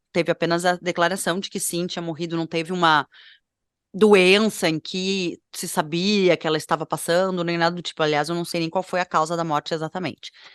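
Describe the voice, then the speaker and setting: A normal speaking voice comes at a moderate pace. The background is quiet, and the sound is dry and close with no echo. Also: woman. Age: 30s. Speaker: fashion podcast co-host. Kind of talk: casual podcast chat. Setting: at home.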